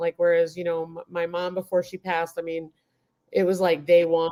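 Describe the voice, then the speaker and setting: The speech moves at a fairly quick pace in an American accent. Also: woman. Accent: slight New York, comes out occasionally. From Queens, New York. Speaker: homesteading YouTuber, guest. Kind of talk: casual live chat.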